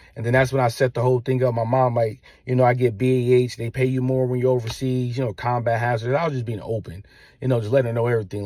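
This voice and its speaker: This man talks at a very fast pace. His tone is dark and mellow. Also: very clean recording, silent background. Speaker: father vlogger, military veteran. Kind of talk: casual monologue to viewers. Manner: halting.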